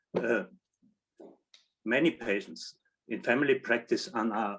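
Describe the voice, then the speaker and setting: A man with a German accent, medium pitch and ordinary pitch variation. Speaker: general practitioner. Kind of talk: short online presentation.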